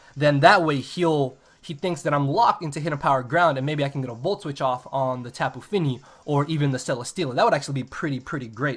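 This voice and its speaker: Heard in a very clean recording with a silent background, a somewhat breathy man with a fairly high pitch talks at a very fast pace with ordinary pitch variation. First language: not English. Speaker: gaming YouTuber. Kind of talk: live gameplay commentary. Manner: occasional stuttering over words.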